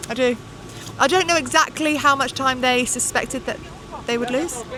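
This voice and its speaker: Raising and projecting her high-pitched voice, a woman talks at a moderate pace with ordinary pitch variation amid noticeable background noise. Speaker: cycling pundit. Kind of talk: casual chat. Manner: loud.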